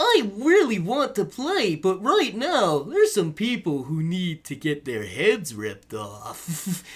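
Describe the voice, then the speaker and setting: A cartoonish character voice at middle pitch, delivered at a fairly slow pace. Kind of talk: animated cartoon delivery. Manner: cartoony, playful.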